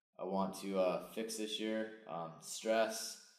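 Audible room echo surrounds a man speaking at a fairly low pitch with monotone, flat intonation. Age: 30s. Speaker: podcast host. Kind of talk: show intro and outro; casual chat.

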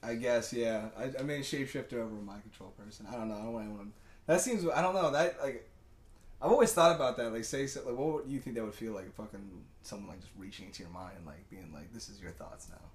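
Somewhat breathy, the man talks at a very fast pace with lively intonation. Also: medium pitch for a man, big swings in loudness. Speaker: podcast co-host. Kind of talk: casual chat. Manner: animated.

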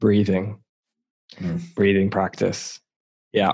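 This is a man talking. His pitch sits fairly low. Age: 30s. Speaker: podcaster and self-discovery coach. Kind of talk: casual chat.

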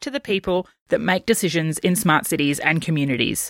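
A woman speaks in a plain, everyday voice at a fairly quick pace with lively intonation. The sound is dry and close with no echo, on a very clean recording with a silent background. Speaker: podcast producer. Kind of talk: scripted narration.

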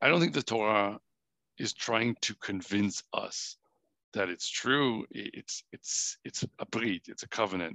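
Speaking fairly slowly with an American accent, a man uses a normal speaking voice at a medium pitch with ordinary pitch variation. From US Northeast, New Hampshire. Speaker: theoretical biophysicist and rabbi. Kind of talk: casual interview.

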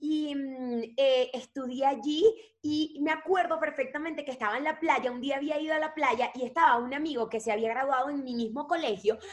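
A woman talks in a high pitch. Her pace is moderate. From Venezuela, Maracaibo. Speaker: actress and singer. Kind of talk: casual interview.

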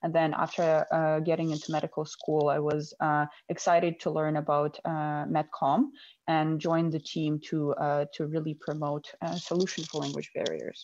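Against a quiet background, a woman with a very deep, low voice speaks at a moderate pace in a monotone, flat intonation. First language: not English. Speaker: medical student and co-founder. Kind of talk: casual interview conversation.

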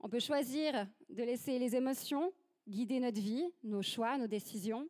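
A high-pitched female voice with ordinary pitch variation in a dry, close sound with no echo. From Switzerland. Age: 30s. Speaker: church ministry leader, guest preacher. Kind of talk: sermon.

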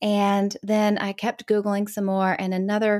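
Over a silent background in a very clean recording, a woman with an unremarkable speaking voice talks at medium pitch. Her pace is moderate, and the sound is dry and close with no echo. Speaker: author and speaker. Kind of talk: casual interview.

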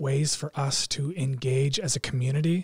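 A man with a fairly high, somewhat breathy voice keeps his intonation fairly even, recorded with a dry, close sound and no echo. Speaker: youth pastor. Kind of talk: casual podcast chat.

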